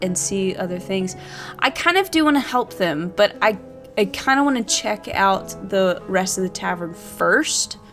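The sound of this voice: The clip features an unforced reading voice with lively intonation.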